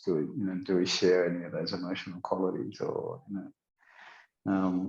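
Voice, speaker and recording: Flat and monotone, a man speaks at a very deep, low pitch. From South Africa. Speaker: podcast guest. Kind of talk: casual interview chat. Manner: halting, with many fillers.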